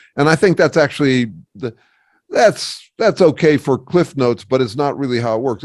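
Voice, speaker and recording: On a very clean recording with a silent background, a man talks fairly quickly at a fairly high pitch with ordinary pitch variation. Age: 60s. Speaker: academic researcher and author. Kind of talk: podcast interview. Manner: halting, with many restarts.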